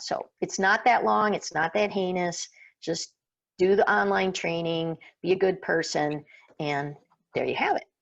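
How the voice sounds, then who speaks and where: With vocal fry and a fairly low pitch, a woman speaks at a moderate pace and with lively intonation against a quiet background. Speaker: workshop presenter and farmer. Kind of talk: online workshop presentation.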